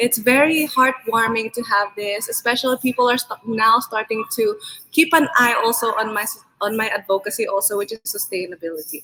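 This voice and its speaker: Music plays behind a woman who speaks at a fairly quick pace with a fairly high pitch and ordinary pitch variation. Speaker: beauty pageant candidate. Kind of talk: interview closing remarks.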